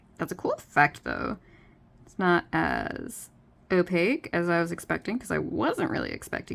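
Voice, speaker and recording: A woman speaks at a moderate pace. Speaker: artist. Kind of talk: art tutorial commentary.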